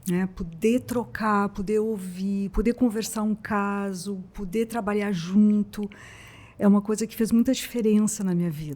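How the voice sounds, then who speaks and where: Somewhat breathy and dark, mellow in tone, a woman speaks at medium pitch and a fairly slow pace with fairly even intonation and big swings in loudness. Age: 60s. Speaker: psychologist. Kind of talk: casual interview.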